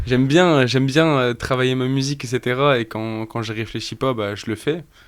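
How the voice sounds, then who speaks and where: The voice belongs to a man. Intonation remains fairly even throughout. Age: 20s. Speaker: rapper. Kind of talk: casual chat. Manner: halting.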